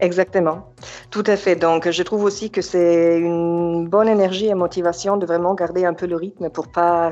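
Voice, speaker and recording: A woman speaks at a moderate pace with a fairly low pitch. Her intonation is flat and monotone. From Germany, Yugoslav family. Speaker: real estate agent. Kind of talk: casual interview. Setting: phone call.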